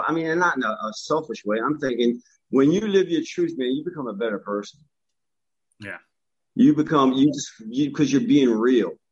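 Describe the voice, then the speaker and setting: This man has a plain, everyday voice, pitched fairly high, with lively intonation and a moderate pace. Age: 50s. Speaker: life coach and podcaster. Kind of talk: casual chat.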